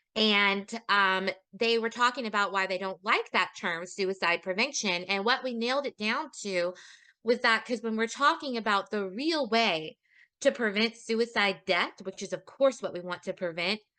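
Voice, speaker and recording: A woman talks in a fairly high voice with a bright, sharp tone. Her pace is moderate, her pitch varies in an ordinary way, and the background is quiet. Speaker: clinical social worker, suicide education presenter. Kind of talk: lecture. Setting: video call.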